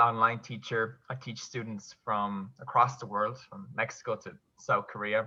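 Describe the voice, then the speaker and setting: Against a quiet background, a man with a Kerry accent speaks in a bright, sharp tone. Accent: Kerry Irish. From Ireland, County Kerry. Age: 20s. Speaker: online English teacher. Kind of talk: casual interview chat.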